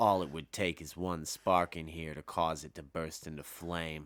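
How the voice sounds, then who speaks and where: A man's booming, menacing put-on character voice, very deep and low, with monotone, flat intonation at a moderate pace. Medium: read story. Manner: measured, menacing.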